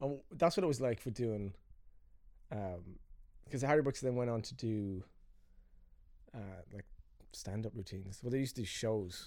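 In an Irish accent, a man talks at medium pitch with ordinary pitch variation and a dark, mellow tone. He leaves long, frequent pauses. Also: moderate pace. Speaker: filmmaker and podcast host. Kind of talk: casual chat.

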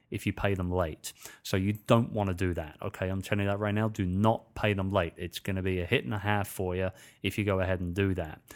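A man with a British accent, a very deep, low pitch, fairly even intonation and a very fast pace, on a very clean recording with a silent background. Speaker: podcast host and author. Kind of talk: solo podcast monologue. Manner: informal, friendly, fillers.

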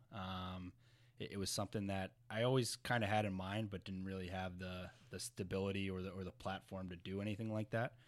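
Against a silent background on a very clean recording, a man with an American accent speaks at a fairly low pitch with fairly even intonation. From New Jersey. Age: 20s. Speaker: professional hockey player. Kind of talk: casual interview. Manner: halting, many fillers.

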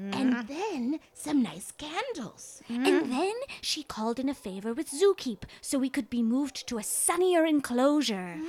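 A female-sounding put-on character voice sits at a high pitch. It moves at a moderate pace with hardly any pauses. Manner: rambling, apologetic.

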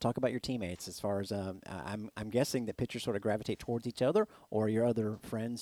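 A man with an American accent talks at a very fast pace in a dark, mellow tone with ordinary pitch variation, the sound dry and close with no echo. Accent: Southern, comes out at times. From Florida, Plant City. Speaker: sports radio host. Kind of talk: interview.

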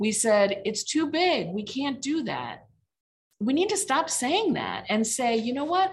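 Speaking at a fairly slow pace, a woman with a US Midwestern accent makes very wide pitch swings. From Indiana (Mishawaka). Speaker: legal aid executive director. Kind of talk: casual interview.

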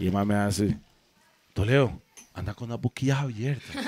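A man speaks in a normal speaking voice at a medium pitch, with moderate pace and ordinary pitch variation. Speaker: podcast co-host. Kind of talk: casual chat.

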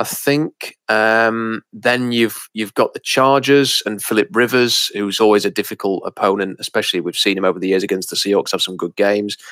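A man with an English accent and a fairly low pitch talks at a moderate pace with hardly any pauses. The recording is very clean, with a silent background and a dry, close sound with no echo. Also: ordinary pitch variation. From England. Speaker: sports podcast co-host. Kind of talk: casual chat.

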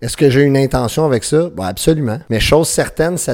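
Using lively intonation, a man speaks with a Quebec accent. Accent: Québécois French. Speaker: podcast host. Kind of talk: motivational monologue. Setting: at home with baby nearby.

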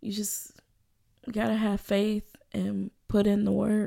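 Very slow and flat, with long, frequent pauses, the speaker uses a dark, mellow tone, monotone intonation and an American accent. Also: woman. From US South, Birmingham, Alabama. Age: 20s. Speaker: violinist, graduate student. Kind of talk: interview.

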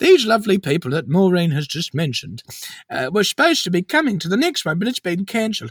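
A high-pitched man with an Australian accent talks very fast with very wide pitch swings, in a dry, close sound with no echo. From Melbourne, Australia. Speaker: comedy podcast host playing an elderly granny character. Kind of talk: comedy podcast banter in character. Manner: chatty, warm, bubbly, playful.

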